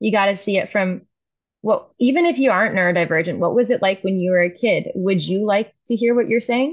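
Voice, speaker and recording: A woman with an American accent speaks at a fairly quick pace at medium pitch, in a normal speaking voice. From US South, New Orleans. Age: 20s. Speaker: artist. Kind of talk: casual chat.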